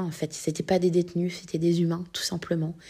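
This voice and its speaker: Her dark, mellow tone and fairly low pitch come with monotone, flat intonation as a woman speaks. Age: 30s. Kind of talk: testimony. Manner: halting, many hesitations.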